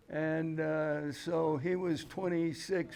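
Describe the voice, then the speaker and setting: A man talks with an American accent at a fairly high pitch for a man. Room echo can be heard. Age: 80s. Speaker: pumpkin grower. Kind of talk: seminar talk. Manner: halting.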